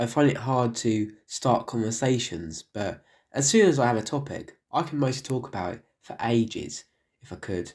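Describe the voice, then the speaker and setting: A man's medium-pitched, normal speaking voice at a moderate pace, with lively intonation, on a very clean recording with a silent background. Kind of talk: documentary narration.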